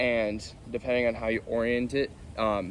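A man's voice comes through with a dry sound and no echo, over light background noise. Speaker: musician vlogger. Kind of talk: casual vlog chat. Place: garden.

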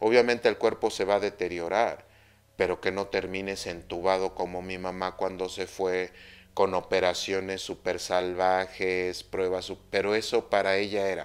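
Here a man's very deep, low voice moves at a fairly slow pace. His intonation is monotone and flat. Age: 50s. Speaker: Mayan astrology teacher. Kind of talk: spiritual talk monologue. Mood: personal, reflective story. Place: home room.

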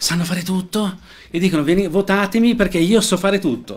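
There is vocal fry in this man's voice. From Lombardy, Lecco; Lombardy. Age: 40s. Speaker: political candidate; candidate. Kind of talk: interview. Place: studio. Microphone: studio mic.

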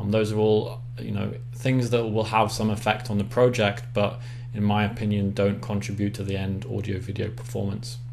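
A man with an English accent talks at a moderate pace in a fairly low, somewhat breathy voice, with hardly any pauses. His intonation is monotone and flat, and there is audible room echo. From England. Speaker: acoustics consultant. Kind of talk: presentation.

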